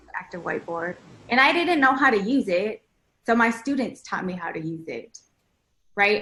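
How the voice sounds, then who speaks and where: Using lively intonation, a woman speaks in a fairly high pitch with a bright, sharp tone. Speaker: math education researcher, former teacher. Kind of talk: panel discussion.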